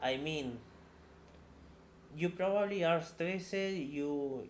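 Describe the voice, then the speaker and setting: With a non-native accent, a man speaks very slowly with ordinary pitch variation, and the room echo is audible. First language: not English. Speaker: tech career YouTuber. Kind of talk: casual monologue answering viewer questions. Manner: halting, many repetitions.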